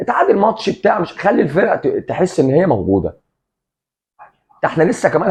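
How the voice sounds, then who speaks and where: A man talks at a fairly quick pace. He speaks with an Egyptian accent. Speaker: football commentator, café owner persona. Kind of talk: casual sports commentary monologue. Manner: animated.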